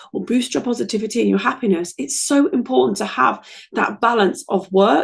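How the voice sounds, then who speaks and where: With an English accent and vocal fry, a woman talks at a fairly quick pace in a fairly high voice. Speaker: podcast host. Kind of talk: casual podcast monologue.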